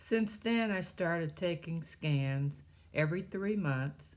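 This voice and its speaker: A woman speaks very slowly in a Midwestern accent. The recording is very clean with a silent background. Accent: US Midwest (Ohio). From Ohio, Cleveland. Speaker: cancer survivor, retired postmaster. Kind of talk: testimony.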